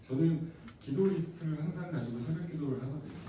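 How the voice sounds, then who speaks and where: Amid audible room echo and noticeable background noise, a man with a fairly high pitch talks at a very fast pace. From Gangwon Province, South Korea (Taebaek). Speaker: pastor. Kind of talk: sermon. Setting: youth retreat hall with audience.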